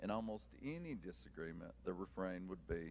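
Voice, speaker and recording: A man with an Appalachian accent, vocal fry and very wide pitch swings. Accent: Appalachian, kept. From eastern Kentucky, Appalachia. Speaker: author and teacher. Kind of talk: prepared talk to audience.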